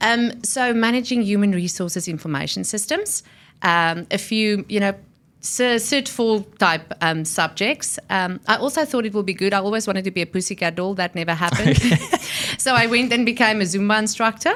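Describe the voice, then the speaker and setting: A woman with a South African accent at a medium pitch and moderate pace, ordinary pitch variation, on a very clean recording with a silent background. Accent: South African, noticeable. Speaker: technology and innovation executive. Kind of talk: interview. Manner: animated, energetic.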